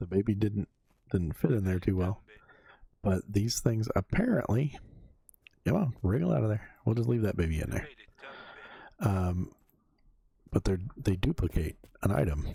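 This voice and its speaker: A man's somewhat breathy voice with a dark, mellow tone, ordinary pitch variation, and long, frequent pauses. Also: fairly low pitch for a man, moderate pace. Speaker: gaming youtuber. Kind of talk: casual gameplay commentary. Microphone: new USB condenser mic, bass dialed down.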